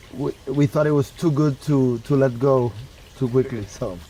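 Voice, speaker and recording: A man with a Puerto Rican accent at a medium pitch, intonation fairly even, amid noticeable background noise. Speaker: food tour business owner. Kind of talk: casual chat.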